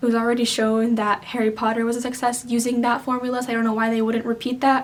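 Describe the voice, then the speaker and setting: A quiet woman's voice, high in pitch, at a fairly quick pace. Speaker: book reviewer. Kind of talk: casual talk to camera.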